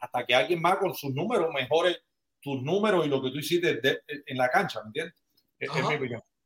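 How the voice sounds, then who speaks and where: Talking at a very fast pace, a man with a fairly high pitch and ordinary pitch variation sounds dry and close with no echo. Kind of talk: casual chat.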